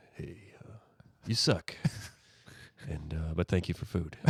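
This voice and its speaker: A put-on character voice is delivered in a whisper. The recording is very clean, with a silent background. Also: man, fairly slow pace. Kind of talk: casual, slangy. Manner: indifferent, deadpan.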